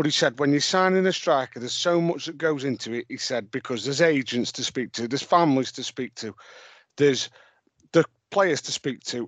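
Recorded with a dry, close sound with no echo over a quiet background, a man speaks in an ordinary speaking voice with ordinary pitch variation and big swings in loudness. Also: fairly high pitch for a man. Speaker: football podcast host. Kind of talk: casual banter chat.

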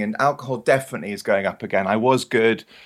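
The pace runs fairly quick. The voice comes with a British accent. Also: man. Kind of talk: casual chat.

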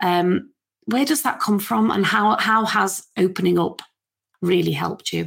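A woman with a Liverpool accent talks at a fairly slow pace in a medium pitch, her voice swinging very widely up and down, on a very clean recording with a silent background. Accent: Scouse (Liverpool). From Liverpool, England. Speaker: podcast host. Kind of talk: interview. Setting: home garden room studio.

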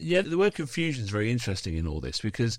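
A very fast-talking man with a British accent. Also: very clean recording, silent background. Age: 50s. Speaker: podcast host. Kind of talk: casual chat.

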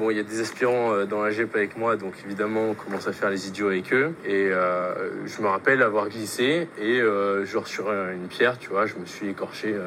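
Over noticeable background noise, the voice moves at a moderate pace with ordinary pitch variation. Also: man. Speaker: exchange student. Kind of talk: recorded testimony.

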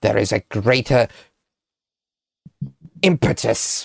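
At a fairly slow pace, a man puts on a character voice at medium pitch. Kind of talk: scholarly exposition. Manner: lofty, condescending, lecturing.

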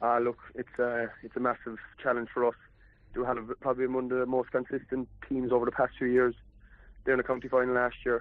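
A man with a West Cork accent speaks at a fairly quick pace. His medium-pitched voice stays monotone and flat. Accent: West Cork Irish. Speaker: footballer. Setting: phone call.

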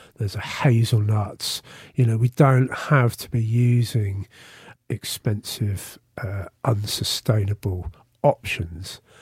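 Speaking at a very slow pace, a man with a somewhat breathy voice shows ordinary pitch variation and big swings in loudness, captured in a very clean recording with a silent background and a dry, close sound with no echo. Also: medium pitch for a man. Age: 50s. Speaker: vegan festival founder. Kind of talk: interview. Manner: halting, repeats words.

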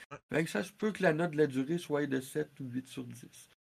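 A man with a Quebec accent, a fairly high pitch and ordinary pitch variation, at a moderate pace on a very clean recording with a silent background. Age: 40s. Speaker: video game columnist. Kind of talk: live-streamed interview.

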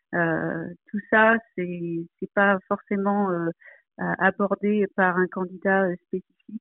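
The speech is very slow and monotone, flat in intonation, with long, frequent pauses. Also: woman, medium pitch for a woman. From Provence, southern France. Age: 40s. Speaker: aeronautical engineer. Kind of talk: interview. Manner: hesitant, many fillers.

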